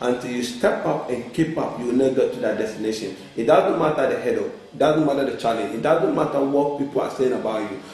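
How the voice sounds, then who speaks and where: A man's animated tone with ordinary pitch variation over noticeable background noise. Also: fairly high pitch for a man, fairly quick pace, hardly any pauses. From Ghana. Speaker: author and life coach. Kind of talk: motivational talk show interview. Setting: TV studio. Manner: animated, emphatic.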